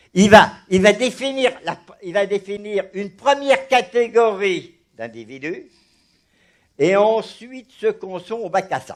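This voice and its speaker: In an animated tone, a man speaks fairly slowly in a high voice, his pitch varying in an ordinary way and his loudness swinging widely. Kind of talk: religious discussion. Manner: animated, halting with repetitions.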